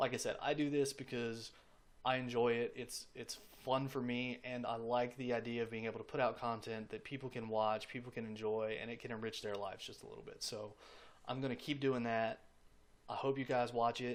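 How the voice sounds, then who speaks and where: Here a man talks at a fairly quick pace in a monotone, flat intonation. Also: medium pitch for a man. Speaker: gaming YouTuber. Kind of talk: casual vlog to camera. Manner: lip smacking before speaking.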